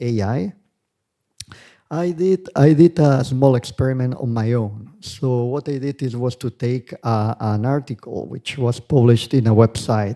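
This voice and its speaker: This man speaks slowly, with a non-native accent and a dark, mellow tone. His medium pitch varies in an ordinary way, and the sound is dry and close with no echo. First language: not English. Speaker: conference speaker, researcher. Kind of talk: academic conference talk. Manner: hesitant, with fillers.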